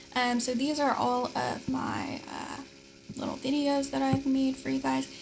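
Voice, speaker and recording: Through noticeable background noise, a woman can be heard. She keeps to a moderate pace. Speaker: teaching assistant. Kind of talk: course overview tutorial. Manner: casual, filler-heavy.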